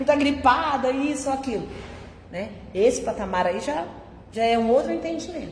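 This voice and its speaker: Over noticeable background noise and audible room echo, a woman talks at a fairly quick pace in a high voice. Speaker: spiritist lecturer. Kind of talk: public religious talk. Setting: spiritist centre, live audience. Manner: conversational.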